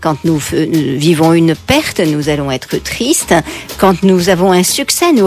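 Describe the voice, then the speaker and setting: With music playing behind her, a woman speaks at a fairly slow pace in a fairly low pitch. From France, Paris. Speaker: psychotherapist and author. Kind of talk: radio interview.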